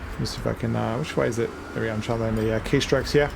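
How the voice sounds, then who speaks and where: A man talks at a very fast pace in an Australian accent. Audible room echo and noticeable background noise fill the recording. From Australia, Melbourne. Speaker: gaming video creator. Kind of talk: gameplay commentary. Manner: casual, with fillers.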